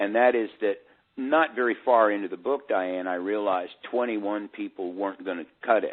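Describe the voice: Speaking at a moderate pace, a man with a fairly low pitch shows ordinary pitch variation.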